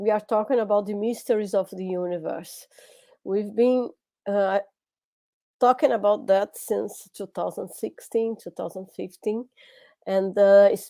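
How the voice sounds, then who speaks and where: A woman with a strong non-native accent, a dark, mellow tone and medium pitch, at a fairly slow pace with fairly even intonation, big swings in loudness, and long, frequent pauses. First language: Portuguese. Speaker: lecturer. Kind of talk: lecture. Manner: halting.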